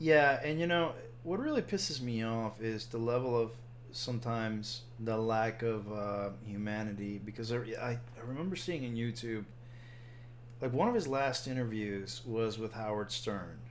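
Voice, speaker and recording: Audible room echo surrounds a man speaking at a moderate pace, with a medium pitch and ordinary pitch variation. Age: 40s. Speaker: podcast co-host. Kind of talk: casual chat.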